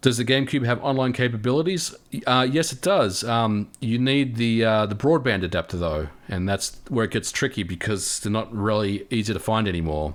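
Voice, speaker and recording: Speaking at a moderate pace with hardly any pauses, a man uses lively intonation on a very clean recording with a silent background. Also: medium pitch for a man. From Australia. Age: 40s. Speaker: gaming youtuber. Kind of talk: livestream chat reading viewer comments. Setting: livestream. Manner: casual, halting with repetitions.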